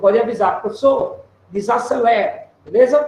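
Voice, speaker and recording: At a moderate pace, a man with an extremely high pitch speaks in an animated tone, with audible room echo and noticeable background noise. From Alagoas backcountry, Brazil. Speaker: professor. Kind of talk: lecture. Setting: video call.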